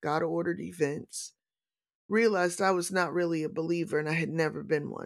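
Heard in a very clean recording with a silent background, a woman with an American accent has an unremarkable speaking voice. Her pitch is fairly low, with ordinary variation. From US Midwest, St. Louis, Missouri. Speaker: pastor. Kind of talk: casual chat.

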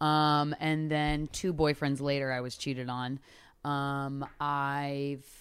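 On a very clean recording with a silent background, a woman with a very deep, low pitch speaks with an American accent and ordinary pitch variation. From Philadelphia suburbs, Pennsylvania. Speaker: comedian and podcaster. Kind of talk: casual chat.

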